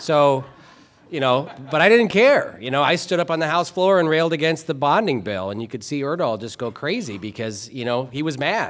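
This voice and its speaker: With a passionate tone and an American accent, a man speaks at a fairly high pitch and a fairly quick pace, swinging widely in pitch. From Minnesota. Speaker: state legislator. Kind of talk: award acceptance speech. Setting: banquet hall with live audience. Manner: passionate, joking. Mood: humorous, candid. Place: hall. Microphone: podium.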